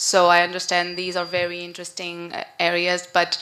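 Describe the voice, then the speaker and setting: In a strong northern Portuguese accent, a woman with a fairly low pitch and a bright, sharp tone speaks at a moderate pace. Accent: strong Porto. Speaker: conference moderator. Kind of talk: conference moderation.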